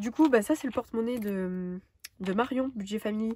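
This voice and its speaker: Somewhat breathy and with a dark, mellow tone, a woman talks at a fairly quick pace and medium pitch, her pitch varying in an ordinary way. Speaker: budgeting vlogger. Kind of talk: casual vlog chat. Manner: fast; hesitant, many fillers.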